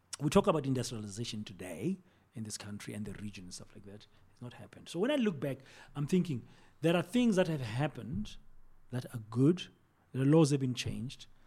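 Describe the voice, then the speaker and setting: A man's somewhat breathy, dark and mellow voice, with very wide pitch swings, big swings in loudness and a fairly quick pace. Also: medium pitch for a man. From South Africa, Soweto. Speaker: broadcaster and communications executive. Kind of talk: interview conversation.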